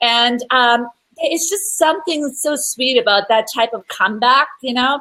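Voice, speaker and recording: Raised and projected, a woman's high, bright, sharp voice moves at a fairly slow pace with lively intonation. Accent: European. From Europe. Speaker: marketing or business expert. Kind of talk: live-streamed interview chat. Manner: animated.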